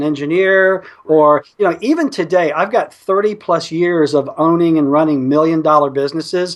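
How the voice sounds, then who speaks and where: A man with an Alabama accent speaks at a fairly high pitch and moderate pace, keeping his intonation fairly even. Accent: Southern US (Alabama). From US South, North Alabama. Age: 50s. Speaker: internet marketer and entrepreneur. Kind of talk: interview.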